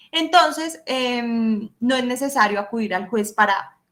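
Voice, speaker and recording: A woman with lively intonation. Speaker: law professor. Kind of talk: lecture. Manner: animated.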